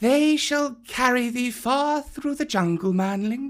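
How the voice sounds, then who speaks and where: Putting on a character voice, a man speaks at an extremely high pitch with ordinary pitch variation and a fairly slow pace. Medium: read story. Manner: slow, hissing, sly.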